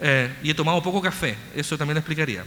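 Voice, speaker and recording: A man with a Chilean accent talks at a fairly quick pace. Noticeable background noise is present throughout. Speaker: researcher. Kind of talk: lecture. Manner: fast; mumbling.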